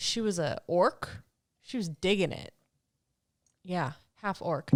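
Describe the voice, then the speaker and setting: A woman speaks at a very slow pace, with long, frequent pauses. Her loudness swings widely. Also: very clean recording, silent background. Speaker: podcast co-host. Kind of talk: casual chat. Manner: talks over others.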